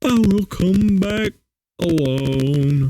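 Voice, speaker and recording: A man puts on a character voice, pitched high with lively intonation. The sound is dry and close, with no echo. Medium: read story. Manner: grave, solemn.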